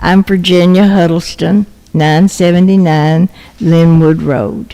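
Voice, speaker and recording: A very slow, fairly low woman's voice with fairly even intonation. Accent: Tennessee. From Tennessee. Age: 80s+. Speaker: local resident speaking at public hearing. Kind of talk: public comment at council meeting. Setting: city council meeting.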